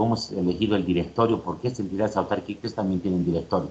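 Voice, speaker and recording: Fairly low male pitch, ordinary in its variation, from a man. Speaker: university lecturer. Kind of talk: lecture. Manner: fast.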